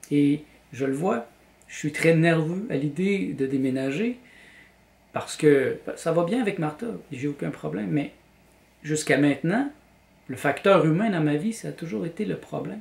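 Speaking in a Quebec accent, a man has a fairly high pitch and lively intonation. He goes at a fairly slow pace with long, frequent pauses, and the room echo is audible. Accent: Québécois French. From Quebec, Montreal. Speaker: vlogger and graphic designer; vlogger. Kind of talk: personal vlog monologue. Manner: hesitant, with repetitions. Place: home room. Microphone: camera far.

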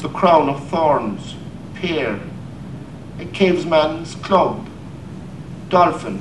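Lively intonation from a man at a fairly high pitch, broken by long, frequent pauses, over noticeable background noise. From Ireland. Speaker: poet. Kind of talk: poetry reading.

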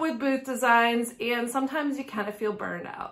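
With ordinary pitch variation, a woman speaks over a quiet background. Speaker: antique booth owner vlogger. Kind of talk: casual vlog chat. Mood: cheerful, friendly. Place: home room.

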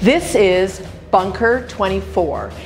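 A woman is speaking. Clear music can be heard behind her. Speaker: tour guide host. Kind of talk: promotional tour presentation. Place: tunnel cave. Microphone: lapel.

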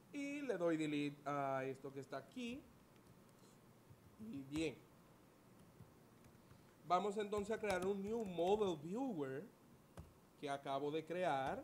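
A man speaks slowly with long, frequent pauses. His voice is fairly high-pitched, with lively intonation.

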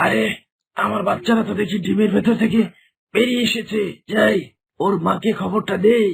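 Putting on a raspy character voice, a man speaks at a high pitch and a moderate pace. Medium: cartoon.

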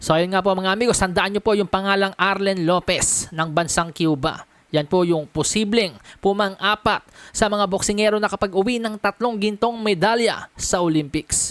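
A woman speaks in an ordinary speaking voice at a moderate pace, her medium pitch showing ordinary variation and her loudness very even. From Philippines. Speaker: sports news vlogger. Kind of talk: sports news commentary.

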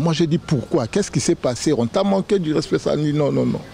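Light background noise sits under the audio. A man speaks with very wide pitch swings. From Kinshasa, DR Congo. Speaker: relative of the founder; guest. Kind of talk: tribute speech. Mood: admiring, emotional tribute. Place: garden. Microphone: handheld.

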